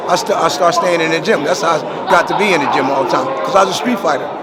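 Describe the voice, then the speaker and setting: Very fast speech from a man with ordinary pitch variation. Audible room echo and noticeable background noise fill the recording. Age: 60s. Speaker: boxing trainer. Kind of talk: interview. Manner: halting.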